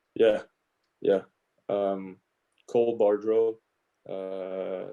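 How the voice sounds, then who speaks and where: A man is speaking. He has a Quebec accent. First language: French. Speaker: professional hockey player. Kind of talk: casual interview chat. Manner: halting, with fillers and repeats.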